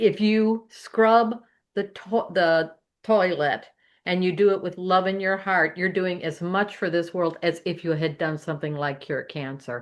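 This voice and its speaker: A normal speaking voice at a fairly slow pace, with ordinary pitch variation and a quiet background. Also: woman, medium pitch for a woman. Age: 60s. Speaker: podcast panelist. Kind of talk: panel discussion.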